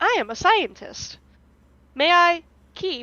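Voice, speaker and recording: A woman performs a put-on character voice. It sits at an extremely high pitch with very wide pitch swings. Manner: stilted.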